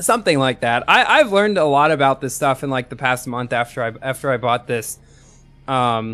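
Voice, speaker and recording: Over music in the background, a man with a medium pitch talks fairly quickly with lively intonation. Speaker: gaming live streamer. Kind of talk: live gaming stream chat. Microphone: new headset microphone with light compression.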